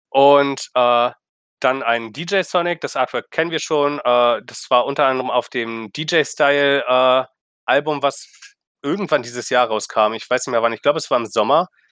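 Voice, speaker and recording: In a very clean recording with a silent background and a dry, close sound with no echo, a man talks at a moderate pace in a fairly high voice with ordinary pitch variation. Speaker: video game podcast host. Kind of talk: casual chat.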